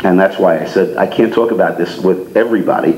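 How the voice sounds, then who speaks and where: In a recording with audible room echo and noticeable background noise, a man with an American accent talks at a fairly quick pace. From Newark, New Jersey. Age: 60s. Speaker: magician and talent representative. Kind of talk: after-dinner talk with humor. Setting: club meeting with live audience. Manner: chatty with frequent fillers and repetitions. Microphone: speaking without the microphone.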